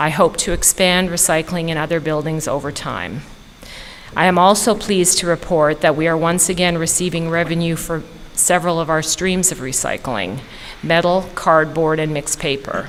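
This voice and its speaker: Noticeable background noise accompanies a woman with a Canadian accent. Her pitch is fairly low and her intonation fairly even. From Canada. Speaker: county solid waste manager. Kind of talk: formal report to a board. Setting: county commissioners work session. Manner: fast.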